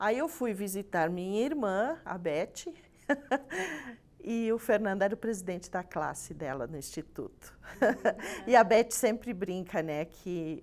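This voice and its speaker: At a fairly slow pace, a woman speaks at a medium pitch with lively intonation. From Rio Grande do Sul, Brazil. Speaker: church member guest. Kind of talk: casual chat.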